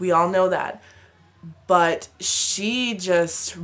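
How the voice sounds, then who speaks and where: A woman speaks with fairly low pitch and fairly even intonation. Noticeable background noise is present. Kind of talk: casual advice vlog to camera. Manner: chatty, informal, many fillers.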